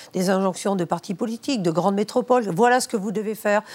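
Medium-pitched, an ordinary speaking voice from a woman, its pitch varying in an ordinary way. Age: 60s. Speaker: former farmers' union leader. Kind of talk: televised debate.

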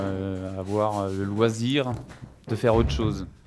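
The man's pitch sits fairly low, with fairly even intonation. He has an unremarkable speaking voice. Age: 30s. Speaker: farmer. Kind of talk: interview.

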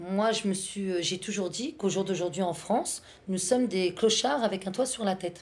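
Ordinary pitch variation and a moderate pace mark an ordinary speaking voice. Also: woman, medium pitch for a woman. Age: 30s. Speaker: stay-at-home mother. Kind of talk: casual chat. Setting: home kitchen, children playing nearby.

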